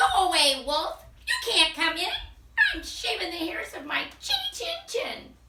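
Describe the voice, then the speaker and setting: Squeaky and extremely high, a put-on character voice is raised and projected at a moderate pace. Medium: read story.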